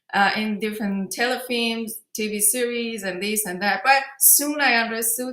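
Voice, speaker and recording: A woman speaks with a Persian accent. Her pace is moderate and her pitch varies in an ordinary way. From Iran, grew up in Tehran. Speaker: film director. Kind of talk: interview. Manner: halting.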